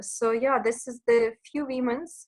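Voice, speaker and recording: A woman's high-pitched voice at a fairly slow pace, with fairly even intonation. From Ukraine. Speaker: entrepreneur and mother. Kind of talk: interview.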